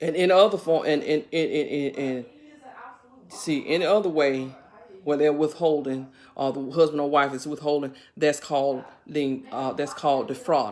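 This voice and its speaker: Noticeable background noise sits behind a woman speaking at a moderate pace. Her pitch is very deep and low. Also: ordinary pitch variation. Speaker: bible teacher on a video channel. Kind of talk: informal bible study talk. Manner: halting, many fillers and repeats.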